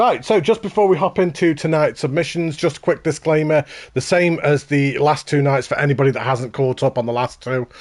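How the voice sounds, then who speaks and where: He speaks with a Stoke accent. The man's pitch is fairly high, with ordinary variation. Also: fairly quick pace. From England, Stoke-on-Trent. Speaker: gaming streamer. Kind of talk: live stream commentary.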